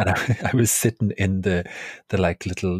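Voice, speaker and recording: A man with an Irish accent sounds somewhat breathy, his pitch fairly low with ordinary variation. The sound is dry and close with no echo, on a very clean recording with a silent background. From Ireland. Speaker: podcast host, storyteller and cabaret performer. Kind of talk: casual storytelling chat.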